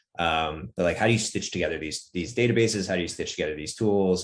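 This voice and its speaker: A man with an American accent speaks with lively intonation and vocal fry. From US Northeast. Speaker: startup founder and CEO. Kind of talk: podcast interview. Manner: many filler words, hesitant restarts.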